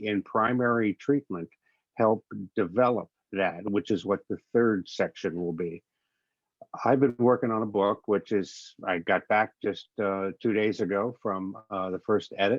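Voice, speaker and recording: An ordinary speaking voice goes at a fairly slow pace with fairly even intonation. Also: man, fairly low pitch for a man. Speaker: addiction recovery presenter. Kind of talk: webinar presentation.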